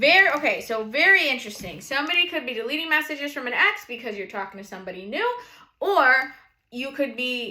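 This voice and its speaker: Speaking in a New England accent, a woman has an animated tone and lively intonation. Her pace is fairly quick. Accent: noticeable New England. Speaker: tarot reader, channel host. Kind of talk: casual tarot reading livestream.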